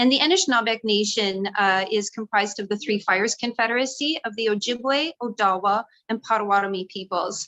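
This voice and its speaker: A woman's fairly high, bright and sharp voice with a Canadian accent, dry and close with no echo. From Ontario, Canada. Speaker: political candidate. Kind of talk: candidate introduction.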